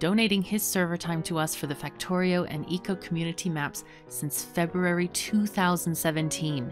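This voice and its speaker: Over clear background music, a woman with a very deep, low pitch talks at a fairly quick pace. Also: dry sound with no echo. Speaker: gaming YouTuber. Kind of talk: casual vlog chat. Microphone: studio mic.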